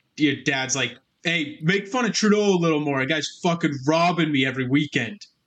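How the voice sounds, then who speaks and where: A normal speaking voice with a Canadian accent, at a fairly quick pace, with ordinary pitch variation. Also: man, fairly high pitch for a man. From Canada, Alberta. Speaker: podcast co-host. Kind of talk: casual chat.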